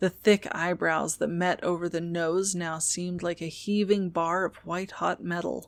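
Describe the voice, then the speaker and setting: Soft-spoken and fairly low in pitch, a woman talks with monotone, flat intonation. She keeps a moderate pace with hardly any pauses. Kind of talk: audiobook reading.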